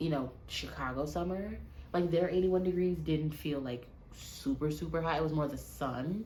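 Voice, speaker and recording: A woman at a moderate pace with audible room echo. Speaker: vlogger. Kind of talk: casual vlog talk to camera. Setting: hotel room. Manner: quiet, hushed.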